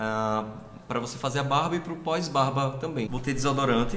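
A man talks at a moderate pace with ordinary pitch variation, audible room echo and light background noise. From Alagoas, Brazil (Viçosa, interior); Alagoas, Brazil. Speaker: fashion store worker, guest showing skincare; guest. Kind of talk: casual chat, product show-and-tell. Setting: borrowed apartment in São Paulo. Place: home room. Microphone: phone near.

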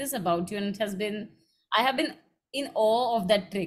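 A woman speaks at a fairly quick pace with lively intonation. Her voice is somewhat breathy. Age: 20s. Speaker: interviewer, literary platform co-founder; interview host. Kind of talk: interview. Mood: warm, admiring. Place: home room.

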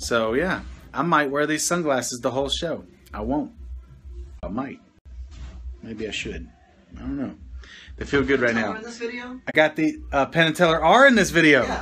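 A man talks at a moderate pace with long, frequent pauses over light background noise. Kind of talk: casual livestream chat. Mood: playful, excited. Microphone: phone near.

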